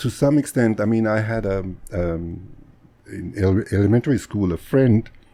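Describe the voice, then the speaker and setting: A man's fairly low, dark, mellow voice at a moderate pace with lively intonation. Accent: German. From Germany, Bavaria near Munich. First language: German. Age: 60s. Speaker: physician. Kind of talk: casual interview.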